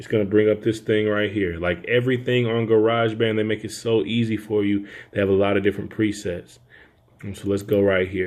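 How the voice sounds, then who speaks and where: A man with a fairly low pitch talks at a fairly quick pace in monotone, flat intonation. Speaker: audio engineer. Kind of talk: tutorial. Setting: home studio. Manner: soft-spoken.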